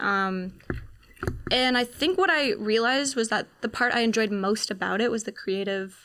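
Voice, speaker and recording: A woman with a plain, everyday voice speaks in a fairly high pitch at a moderate pace. Her pitch variation is ordinary, and the recording is very clean with a silent background. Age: 20s. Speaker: actor and filmmaker. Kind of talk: podcast interview. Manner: casual, frequent fillers.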